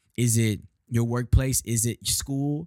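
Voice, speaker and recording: An animated man speaks on a very clean recording with a silent background. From Texas, Houston. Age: 20s. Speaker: podcast host and church worker. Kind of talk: casual devotional monologue.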